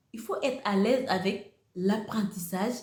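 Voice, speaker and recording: Audible room echo surrounds a woman with a Senegalese accent talking at medium pitch and a fairly slow pace. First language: Wolof (speaking French). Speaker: YouTuber, motivational speaker. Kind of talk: motivational talk to camera. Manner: repetitive, hesitant phrasing.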